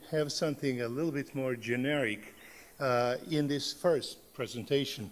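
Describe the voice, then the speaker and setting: A man with a Serbian accent, fairly high pitch, ordinary pitch variation and a moderate pace. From Serbia, Belgrade. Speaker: professor. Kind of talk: conference talk. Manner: halting, many fillers.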